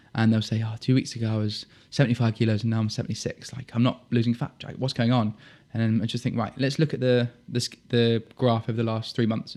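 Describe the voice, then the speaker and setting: A man's medium-pitched voice with a southern English accent, monotone, flat intonation and a fairly quick pace against a quiet background. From southern England, Dorset (Poole). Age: 20s. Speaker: military officer and fitness coach. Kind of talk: podcast interview. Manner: casual, conversational.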